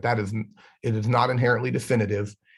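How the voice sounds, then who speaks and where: Over a quiet background, a man speaks at a very fast pace in a somewhat breathy voice. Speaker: educational technology trainer; webinar presenter. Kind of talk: online workshop presentation; webinar talk, answering questions. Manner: halting with repeated words. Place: office. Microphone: webcam.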